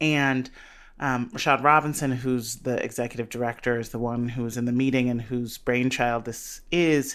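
An American-accented woman speaks at a moderate pace with a very deep, low pitch and monotone, flat intonation. The recording is very clean, with a silent background. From US Midwest, south side of Chicago. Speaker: policy advocate and author. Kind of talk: interview conversation.

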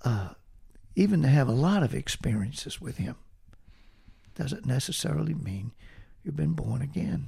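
A man with a medium-pitched, dark, mellow voice and vocal fry speaks at a moderate pace. His pitch swings very widely, and he takes long, frequent pauses. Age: 70s. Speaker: retired assistant pastor. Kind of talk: casual interview conversation.

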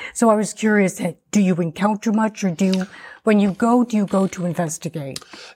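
On a very clean recording with a silent background, a woman of medium pitch speaks fairly quickly in a somewhat breathy, dark, mellow voice with ordinary pitch variation. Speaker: radio co-host. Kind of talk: radio show co-hosting, conversational.

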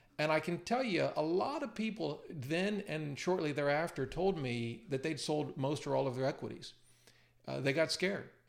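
Speaking at a moderate pace, a man with an unremarkable speaking voice uses lively intonation at a fairly high pitch. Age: 50s. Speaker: personal finance YouTuber and author. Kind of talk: screen-share tutorial. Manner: casual with frequent fillers and repetitions.

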